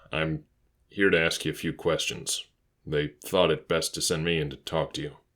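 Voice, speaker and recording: A soft-spoken, raspy put-on character voice with monotone, flat intonation at a moderate pace on a very clean recording with a silent background. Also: man, very deep, low pitch for a man. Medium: read story. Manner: soft, calm, professional.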